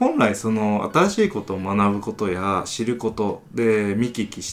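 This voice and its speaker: A man speaks in an unremarkable speaking voice with fairly low pitch. His intonation is fairly even. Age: 30s. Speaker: company founder and engineering manager. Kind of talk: casual chat.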